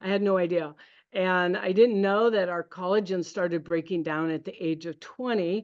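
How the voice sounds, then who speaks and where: A woman's plain, everyday voice in an American accent, medium pitch, fairly slow pace and ordinary pitch variation, against a quiet background. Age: 60s. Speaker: network marketing presenter. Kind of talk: sales pitch.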